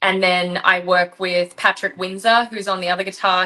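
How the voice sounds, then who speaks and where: Through noticeable background noise, a woman speaks at a moderate pace and a medium pitch. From Australia. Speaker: rock singer and band leader. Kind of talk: interview.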